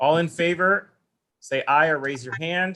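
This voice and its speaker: Pitched fairly high, a man talks in an unremarkable speaking voice. His pace is moderate and his pitch varies in an ordinary way. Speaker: school council meeting chair. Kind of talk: formal meeting.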